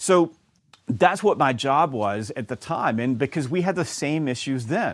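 Lively intonation in a Southern US accent at a fairly slow pace, on a very clean recording with a silent background. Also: man, fairly high pitch for a man. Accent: Southern US (Georgia). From US South, Georgia. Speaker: sales author and trainer. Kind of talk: interview.

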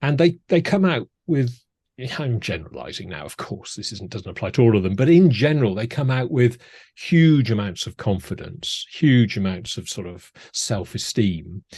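Over a quiet background, a man talks at a medium pitch and a moderate pace in a somewhat breathy voice. His pitch swings very widely and his loudness shifts a lot. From Wales (Cardiff), Scottish-born. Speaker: former broadcaster and media presenting trainer. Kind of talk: casual interview chat. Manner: halting with many fillers.

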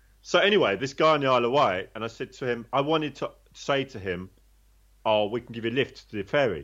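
Over a quiet background, this speaker moves at a fairly quick pace with lively intonation, vocal fry and a London accent. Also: man. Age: 50s. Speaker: former prisoner turned personal trainer. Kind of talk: interview testimony.

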